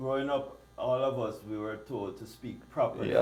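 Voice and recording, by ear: Man in a Caribbean accent, medium pitch, monotone and flat intonation, moderate pace, noticeable background noise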